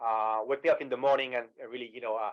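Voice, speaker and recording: With a strong French accent, a man speaks fairly quickly at a medium pitch. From France, Paris. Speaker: sales executive. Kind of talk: webinar presentation.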